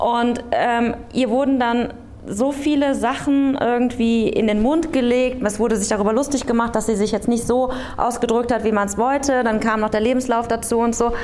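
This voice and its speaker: Over noticeable background noise and audible room echo, a woman talks at a moderate pace in a high pitch, with fairly even intonation and very even loudness. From Aachen, western Germany. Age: 30s. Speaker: local politician and candidate. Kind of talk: panel discussion before live audience. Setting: theatre stage with audience.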